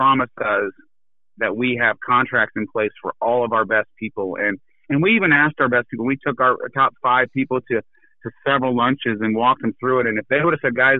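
This man has a plain, everyday voice with an American accent, medium pitch, ordinary pitch variation and a fairly quick pace. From Iowa, US Midwest. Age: 40s. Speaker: business owner. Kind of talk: interview.

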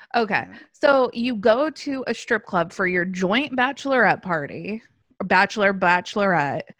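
With an American accent, a woman uses an ordinary speaking voice, medium in pitch, moving at a moderate pace with lively intonation over a quiet background. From Los Angeles, US. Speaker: podcast host. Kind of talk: casual chat.

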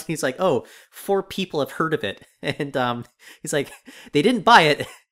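A man talks in an ordinary speaking voice at a fairly high pitch and a fairly quick pace. The recording is very clean, with a silent background. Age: 30s. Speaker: podcast co-host. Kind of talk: casual chat.

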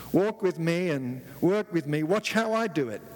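A man with a British accent and a fairly high pitch. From England. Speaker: visiting preacher. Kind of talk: sermon. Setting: church with congregation. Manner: humorous, jokes with audience.

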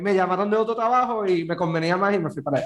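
Pitch variation here is ordinary. The speaker is a man. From Puerto Rico, Guaynabo. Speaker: podcast host. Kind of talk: casual chat.

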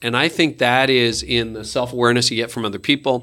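A man with a Canadian accent speaks at a medium pitch in a bright, sharp tone, on a very clean recording with a silent background. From Canada. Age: 50s. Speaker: pastor and leadership podcaster. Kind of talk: casual interview.

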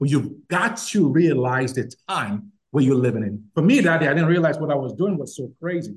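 The somewhat breathy voice moves at a moderate pace with lively intonation and hardly any pauses. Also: man, fairly high pitch for a man. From Nigeria. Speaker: nonprofit founder. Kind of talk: interview conversation.

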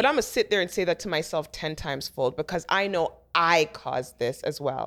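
A woman with an unremarkable speaking voice, fairly low pitch and moderate pace, in a very clean recording with a silent background. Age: 40s. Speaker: celebrity makeup artist. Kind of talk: casual chat.

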